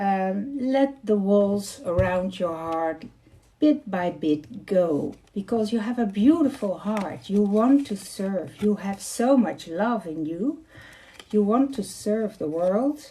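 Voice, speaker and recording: In a Dutch accent, a woman speaks at a very slow pace with medium pitch. Her tone is dark and mellow, and somewhat breathy. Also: lively intonation. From Netherlands. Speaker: card reader. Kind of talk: live tarot reading. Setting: livestream. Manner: halting.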